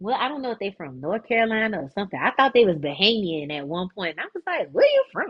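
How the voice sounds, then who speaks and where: A woman speaks in a strong Florida accent at a medium pitch and very fast pace, with hardly any pauses. Her tone is animated, with very wide pitch swings and big swings in loudness. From South Florida (Fort Lauderdale). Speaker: dance director and former pro dancer. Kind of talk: casual podcast interview. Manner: animated, casual.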